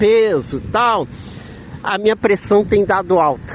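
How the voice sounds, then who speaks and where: Against noticeable background noise, a man with a high pitch speaks at a very slow pace. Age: 60s. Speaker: vlogger. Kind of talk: casual vlog monologue. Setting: outside a health center.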